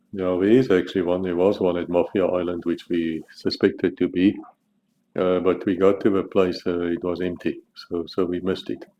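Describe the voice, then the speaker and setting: A man with a South African accent speaks at a moderate pace in a very deep, low voice, his intonation monotone and flat. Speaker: author. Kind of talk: casual monologue about his book.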